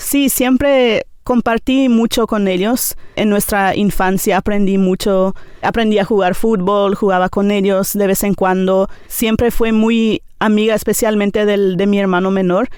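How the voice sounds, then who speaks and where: With a Paraguayan accent, a woman speaks at a fairly slow pace with hardly any pauses, very even loudness and fairly even intonation. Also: medium pitch for a woman. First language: Nivacle (speaking Spanish). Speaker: teacher. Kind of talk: interview testimony. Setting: studio. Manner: hesitant, many fillers.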